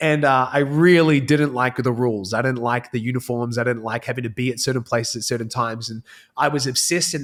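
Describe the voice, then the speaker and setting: At a very fast pace with hardly any pauses, a man speaks at a medium pitch with fairly even intonation. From New Zealand. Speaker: entrepreneur, former pastor. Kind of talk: podcast interview.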